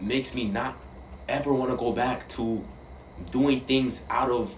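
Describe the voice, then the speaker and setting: Over noticeable background noise and audible room echo, a man with a medium-pitched voice speaks at a fairly slow pace. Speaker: vlogger. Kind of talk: casual monologue. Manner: halting.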